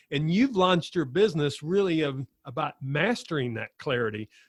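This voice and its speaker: This man has a normal speaking voice, fairly high in pitch, with lively intonation and a moderate pace. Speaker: podcast host. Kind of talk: podcast interview.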